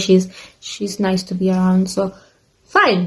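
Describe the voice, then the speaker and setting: A somewhat breathy woman's voice at medium pitch. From Africa. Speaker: YouTuber, former au pair. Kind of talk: casual storytime vlog. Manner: casual, chatty with fillers.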